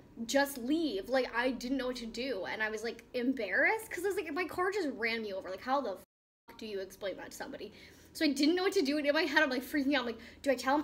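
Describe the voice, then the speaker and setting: Talking very fast in a high-pitched voice, a woman with an American accent is heard over noticeable background noise. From US Northeast, Boston / Rhode Island area. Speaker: YouTuber. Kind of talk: casual chat.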